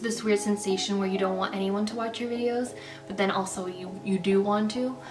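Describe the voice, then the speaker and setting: Over music in the background, a woman speaks very fast at a medium pitch with fairly even intonation. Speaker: lifestyle YouTuber. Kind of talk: casual vlog talk to camera. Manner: rambling, fast, many fillers; stutters.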